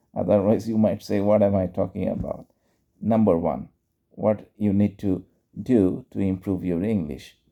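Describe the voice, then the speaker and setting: This man's voice has a dark, mellow tone and fairly low pitch, delivered at a fairly slow pace. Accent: Bengali. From Bangladesh. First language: Bengali. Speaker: English teacher and YouTuber. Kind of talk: casual instructional talk. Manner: unscripted, conversational.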